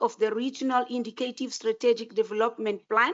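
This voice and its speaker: High pitch from a woman. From Mozambique. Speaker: regional official giving welcome address. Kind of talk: formal welcome speech. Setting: conference auditorium. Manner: formal.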